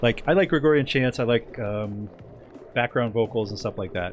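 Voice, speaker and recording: Music plays behind a man talking at a fairly quick pace. His intonation is lively. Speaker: video game streamer. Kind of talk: casual chat. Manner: rambling with frequent fillers.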